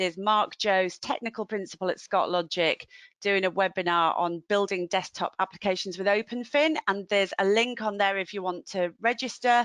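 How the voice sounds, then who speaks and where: In a Yorkshire accent, a woman speaks at medium pitch with ordinary pitch variation and hardly any pauses, her voice dry and close with no echo over a quiet background. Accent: Yorkshire drawl. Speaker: webinar host. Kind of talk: webinar hosting. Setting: online webinar.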